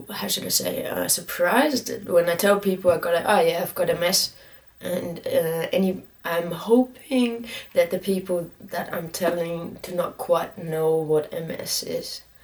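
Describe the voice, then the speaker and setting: A woman's fairly low voice at a fairly slow pace, with ordinary pitch variation and noticeable background noise. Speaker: vlogger with multiple sclerosis. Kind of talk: personal video update. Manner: halting, many fillers.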